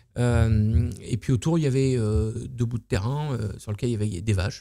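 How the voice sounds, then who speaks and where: A man talks at a fairly slow pace in a dark, mellow tone with ordinary pitch variation. The background is quiet. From Normandy, France. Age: 50s. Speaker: entrepreneur, luxury hotel owner; interview guest, estate creator. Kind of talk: casual interview. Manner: halting, many fillers. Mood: relaxed, storytelling. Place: home room. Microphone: studio mic.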